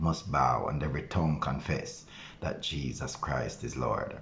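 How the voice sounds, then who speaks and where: The speech moves at a moderate pace with light background noise behind it. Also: man. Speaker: pastor. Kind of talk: prayer. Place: home room. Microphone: phone near.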